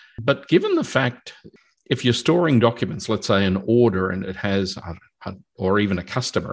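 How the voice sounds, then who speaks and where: A man talks at a fairly quick pace with an Australian accent. The background is quiet. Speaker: podcast host, database consultant. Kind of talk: casual technical interview.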